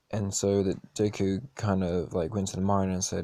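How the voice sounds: Natural voice reading a text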